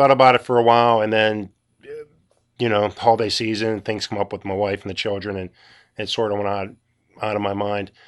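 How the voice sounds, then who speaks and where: A man with a Western Pennsylvania accent and a fairly low voice, fairly quick and monotone, with big swings in loudness and long, frequent pauses over a quiet background. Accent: Western Pennsylvania American. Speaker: podcast host. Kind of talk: solo monologue. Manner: casual, halting with fillers.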